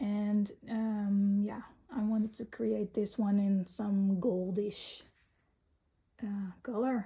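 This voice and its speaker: A woman speaks very slowly with a Dutch accent, in a medium-pitched, monotone, flat voice. Her tone is dark and mellow and somewhat breathy. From Netherlands. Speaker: coloring hobby vlogger. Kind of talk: casual show-and-tell vlog. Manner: halting, many fillers.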